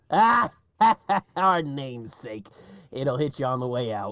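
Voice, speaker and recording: A man puts on a raspy character voice at a medium pitch. He moves at a fairly slow pace. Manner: sardonic.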